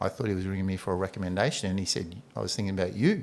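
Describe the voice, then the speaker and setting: Speaking with an Australian accent, a man rattles along at a very fast pace. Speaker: basketball coach and administrator. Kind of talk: casual chat.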